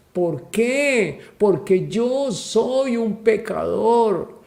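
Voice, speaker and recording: A man with a dark, mellow tone speaks with lively intonation, and audible room echo is present. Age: 60s. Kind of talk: sermon. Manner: animated.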